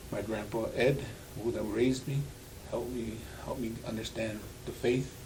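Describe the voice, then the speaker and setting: Amid noticeable background noise and audible room echo, a man speaks at a moderate pace and medium pitch with monotone, flat intonation and long, frequent pauses. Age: 60s. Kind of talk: interview. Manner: halting.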